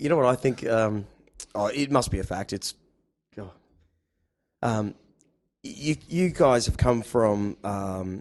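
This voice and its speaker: Speaking very slowly with an Australian accent, this voice has ordinary pitch variation and long, frequent pauses. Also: man, medium pitch for a man. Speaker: podcast host. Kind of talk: casual chat.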